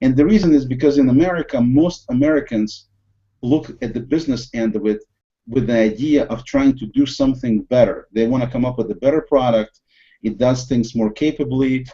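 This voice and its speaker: A man with a Russian accent speaks at a fairly quick pace. His pitch sits in the medium range and varies in an ordinary way. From USSR. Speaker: podcast host. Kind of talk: casual discussion. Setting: video call.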